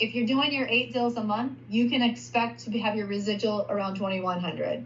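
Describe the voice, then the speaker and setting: Audible room echo surrounds speech with ordinary pitch variation. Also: woman. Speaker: payments sales recruiter. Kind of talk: sales pitch over screen share. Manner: fast.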